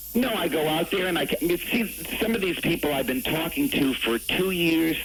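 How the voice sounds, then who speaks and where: Over noticeable background noise, a high-pitched man talks at a moderate pace with lively intonation and very even loudness. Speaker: radio show guest. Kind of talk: interview answer.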